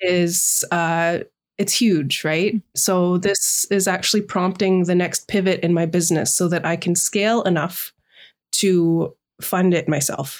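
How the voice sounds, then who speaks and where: Her pitch is fairly low for a woman. She speaks at a fairly slow pace with fairly even intonation. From Canada, British Columbia Sunshine Coast. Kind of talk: interview. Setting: remote call.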